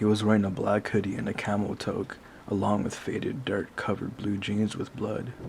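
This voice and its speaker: Man with monotone, flat intonation over noticeable background noise. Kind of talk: horror story narration.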